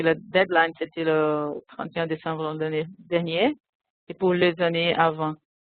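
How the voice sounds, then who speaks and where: A woman with a non-native accent, fairly low in pitch, very slow, and fairly even in intonation. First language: not French (speaking French). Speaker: convention secretariat staff, system developer. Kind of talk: webinar software demonstration. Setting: online webinar. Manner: halting.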